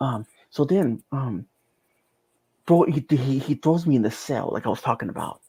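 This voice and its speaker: A man talks at a moderate pace in a dark, mellow tone, captured on a very clean recording with a silent background. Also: dry, close sound with no echo. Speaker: near-death experience survivor. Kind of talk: testimony. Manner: halting.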